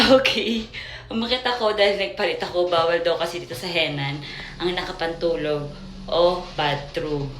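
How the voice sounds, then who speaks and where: At a moderate pace, a woman with a fairly low pitch speaks amid noticeable background noise and audible room echo. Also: lively intonation. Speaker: vlogger. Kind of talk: casual travel vlog. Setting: hotel on vacation.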